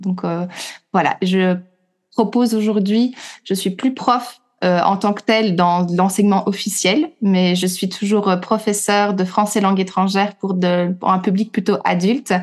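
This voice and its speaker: A woman with an ordinary speaking voice talks fairly slowly at a medium pitch, her intonation fairly even. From Belgium. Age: 30s. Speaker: teacher and trainer. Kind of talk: casual interview chat.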